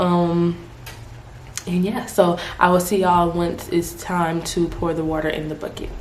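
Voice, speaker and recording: A woman's voice carries audible room echo, with noticeable noise in the background. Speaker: beauty YouTuber. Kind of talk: hair tutorial. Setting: at home. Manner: soft-spoken, trying to be quiet; casual, chatty.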